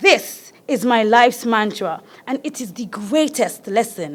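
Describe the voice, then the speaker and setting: Her pitch is fairly high, and this woman speaks at a fairly slow pace. The recording is very clean, with a silent background. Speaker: carnival queen contestant. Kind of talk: prepared pageant speech. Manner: formal.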